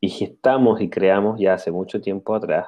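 He speaks in a dark, mellow tone at a fairly low pitch. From Chile, central region. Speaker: spiritual channeler. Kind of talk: interview.

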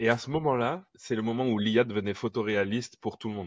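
A man talks at a fairly quick pace with ordinary pitch variation in a plain, everyday voice. The sound is dry and close with no echo, and the background is quiet. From Guadeloupe. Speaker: futurist artist and public speaker. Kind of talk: casual chat.

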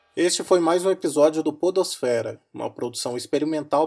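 Speaking with a normal speaking voice, a man keeps a fairly high pitch and a fairly quick pace while his pitch varies in an ordinary way. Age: 30s. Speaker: university student podcast co-host. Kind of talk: casual discussion; scripted outro.

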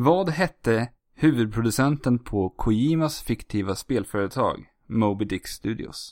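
A man's medium-pitched voice, a normal speaking voice, with lively intonation and hardly any pauses, dry and close with no echo. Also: fairly slow pace. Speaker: podcast host. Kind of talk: casual chat. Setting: remote recording.

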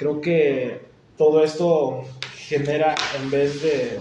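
The room echo is audible, and background noise is noticeable. A man talks with fairly even intonation. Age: 20s. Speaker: podcast host and sports science student. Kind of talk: casual interview.

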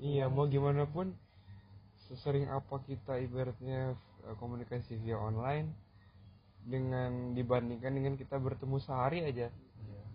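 A man speaks at a moderate pace with long, frequent pauses. His intonation is fairly even and his voice somewhat breathy. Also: medium pitch for a man. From Batam, Indonesia. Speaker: university student leader. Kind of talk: casual podcast interview.

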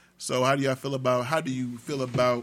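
The man speaks at medium pitch. His pace is fairly quick. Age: 40s. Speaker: podcast host. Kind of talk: casual chat.

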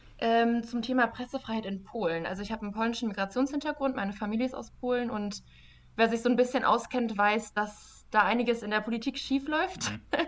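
Using a plain, everyday voice, a woman speaks at a fairly quick pace in a fairly high pitch with ordinary pitch variation. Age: 20s. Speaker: journalist and fact-checker. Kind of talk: casual interview.

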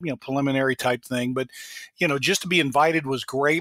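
In a monotone, a man talks with flat intonation. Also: dry, close sound with no echo. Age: 50s. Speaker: aviation analyst and entrepreneur. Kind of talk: interview.

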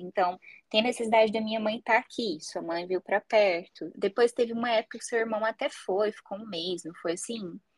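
A woman speaks in an ordinary speaking voice at a fairly high pitch and a moderate pace. The recording is dry and close, with no echo. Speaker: psychologist, podcast host. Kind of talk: casual chat.

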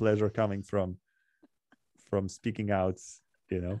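A man's fairly low, dark, mellow voice with monotone, flat intonation at a moderate pace, in a dry, close sound with no echo. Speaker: English teacher and podcast host. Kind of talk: casual chat. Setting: remote video call, home.

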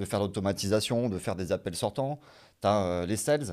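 A man with an ordinary speaking voice and fairly low pitch talks at a fairly quick pace on a very clean recording with a silent background. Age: 30s. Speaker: business developer. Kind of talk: casual interview on livestream.

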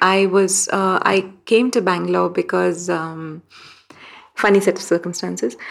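A woman speaks at a fairly slow pace in a fairly low pitch, with vocal fry. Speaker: journalist. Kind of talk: interview.

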